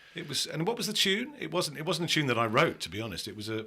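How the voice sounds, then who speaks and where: Through noticeable background noise, a man talks at a very fast pace and fairly high pitch with very wide pitch swings. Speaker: voice-over artist. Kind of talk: casual podcast conversation.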